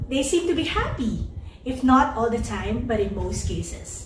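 Amid light background noise and audible room echo, a woman talks at a fairly slow pace in a high pitch with ordinary pitch variation. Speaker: speaker. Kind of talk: inspirational talk to online audience.

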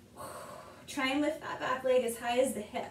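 A woman with a high voice speaks at a moderate pace, with light background noise and audible room echo. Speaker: yoga teacher. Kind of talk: guided exercise instruction. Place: home room. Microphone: camera far.

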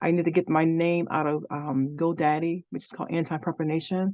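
A woman's very deep, low pitch and dark, mellow tone, fairly even intonation and a fairly quick pace. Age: 50s. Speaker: workshop participant, direct sales partner. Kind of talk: Q&A help session. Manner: halting.

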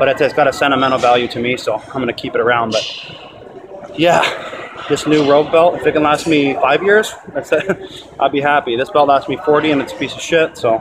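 Noticeable background noise runs under a voice that moves at a fairly quick pace with ordinary pitch variation. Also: man. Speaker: amateur bodybuilder vlogger. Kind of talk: casual vlog chat. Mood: sentimental, reflective. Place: gym. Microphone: phone near.

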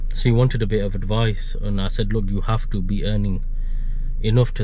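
The voice moves at a moderate pace with monotone, flat intonation, over light background noise. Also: man, dry sound with no echo. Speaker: vlogger. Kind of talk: casual vlog chat. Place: car. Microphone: phone near.

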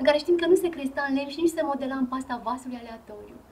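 A high-pitched woman talks at a very fast pace with ordinary pitch variation. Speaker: archaeologist museum guide. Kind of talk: guided tour presentation.

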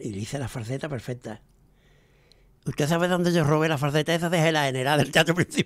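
A man talks at a very fast pace yet leaves long, frequent pauses, with ordinary pitch variation. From El Puerto de Santa María, Andalusia, Spain. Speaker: veteran flamenco guitarist. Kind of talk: interview storytelling. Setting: radio studio. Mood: lively anecdotal storytelling. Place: studio. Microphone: studio mic.

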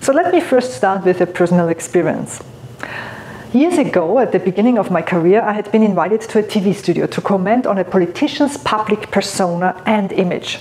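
Over light background noise, a woman with a non-native accent talks at a fairly quick pace with lively intonation. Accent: foreign accent in English. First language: non-native English. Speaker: keynote speaker and author. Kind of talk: motivational talk to camera. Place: studio. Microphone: lapel.

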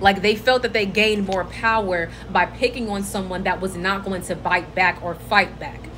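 A woman at a moderate pace, hardly any pauses, fairly even intonation and light background noise. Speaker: social media creator. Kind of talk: casual vlog chat. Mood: earnest, reflective. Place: home room. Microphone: phone near.

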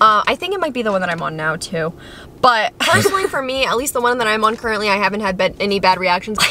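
A woman talks very fast with lively intonation in a dry sound with no echo, with light background noise. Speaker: vlogger. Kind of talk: casual vlog chat. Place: car. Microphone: phone near.

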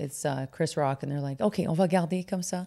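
Against a quiet background, a woman with an English accent speaks in a very deep, low pitch with a dark, mellow tone. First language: English (speaking French). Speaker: comedian; comedian guest. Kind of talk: casual interview chat. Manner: halting, frequent fillers and English code-switching. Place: studio. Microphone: studio mic.

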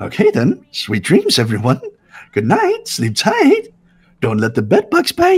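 A man puts on a character voice and delivers it at a fairly slow pace. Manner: mock-cheerful, playful.

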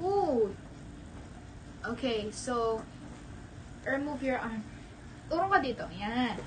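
A woman speaks at a very slow pace in a fairly high pitch with lively intonation. Noticeable background noise runs behind her. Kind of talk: casual vlog talk to camera. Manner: playful, laughing, game-like.

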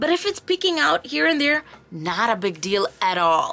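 Against noticeable background noise, a woman with a high pitch and a warm tone speaks at a moderate pace. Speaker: craft tutorial host. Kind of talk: tutorial. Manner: friendly, warm, explanatory.

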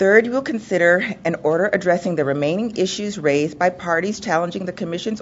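Against light background noise, a woman speaks in an ordinary speaking voice. Her pitch is fairly low, with ordinary pitch variation. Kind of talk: formal agenda reading. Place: hall. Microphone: podium.

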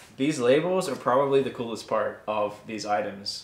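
With lively intonation and a moderate pace, a man speaks amid audible room echo. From South Africa. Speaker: YouTube reseller, channel co-host. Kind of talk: casual unboxing chat. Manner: playful, jokey. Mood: excited, upbeat. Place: home room.

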